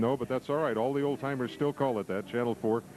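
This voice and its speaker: In an American accent, a man with a normal speaking voice talks at medium pitch with ordinary pitch variation. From southern Illinois. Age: 60s. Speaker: TV news anchor. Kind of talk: interview.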